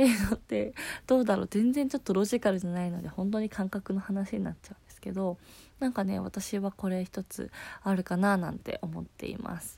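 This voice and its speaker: A woman's somewhat breathy, dark and mellow voice at a medium pitch, with a fairly quick pace, ordinary pitch variation and big swings in loudness, on a very clean recording against a silent background. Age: 20s. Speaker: podcast host, office worker. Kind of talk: casual solo talk.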